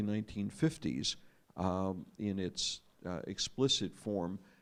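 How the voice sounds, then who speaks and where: A man speaks with an American accent. His pitch sits fairly low. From United States. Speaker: former diplomat and journalist speaking on a panel. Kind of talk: panel talk. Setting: arts festival panel with audience. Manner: hesitant, frequent fillers.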